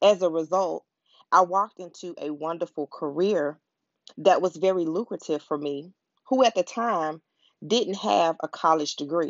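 Speaking with an American accent, a woman uses a fairly low pitch, an animated tone, ordinary pitch variation and a moderate pace. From US South, Pensacola, Florida. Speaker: motivational podcast host. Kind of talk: scripted motivational monologue.

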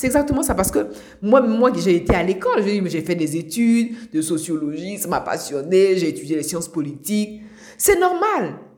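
A woman speaks at a moderate pace with a medium pitch and lively intonation, over noticeable background noise. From Côte d'Ivoire, Abidjan. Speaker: life coach podcaster. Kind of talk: motivational monologue. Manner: halting, repeats words.

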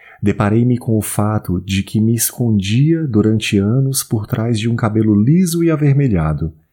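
In a very clean recording with a silent background, a man with a fairly low voice and a dark, mellow tone talks at a moderate pace with lively intonation. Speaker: audiobook narrator. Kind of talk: dramatic literary narration, first-person confessional prose read aloud. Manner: intense, theatrical, emotionally charged, measured pauses.

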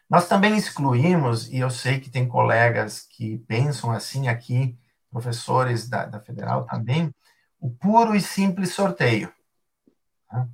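A man speaks with a medium pitch and a somewhat breathy sound. His pace is fairly slow, and his intonation is lively. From southern Brazil, Rio Grande do Sul. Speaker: philosophy and ethics professor. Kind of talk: interview on a live stream. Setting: live stream.

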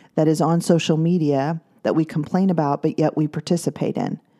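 The voice has a dark, mellow tone and keeps a moderate pace. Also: woman. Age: 50s. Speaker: podcast host, former teacher. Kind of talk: solo podcast monologue.

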